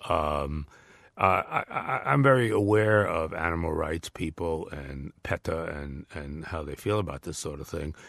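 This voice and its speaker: A man with a New York accent speaks at a moderate pace in a very deep, low voice. His pitch varies in an ordinary way, against a quiet background. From New York area. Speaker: former diplomat and author. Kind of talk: interview. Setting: studio. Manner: hesitant, many fillers.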